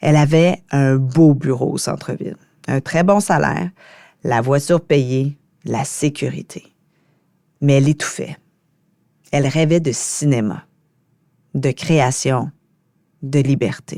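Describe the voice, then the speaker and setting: With a very deep, low pitch and a dark, mellow tone, a woman speaks very slowly, leaving long, frequent pauses and keeping ordinary pitch variation. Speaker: podcast host. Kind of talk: solo podcast reflection.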